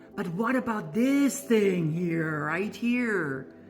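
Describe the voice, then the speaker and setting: Background music plays while a woman talks. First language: not English. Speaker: voice and wellness coach. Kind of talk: personal testimony and pitch. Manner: animated.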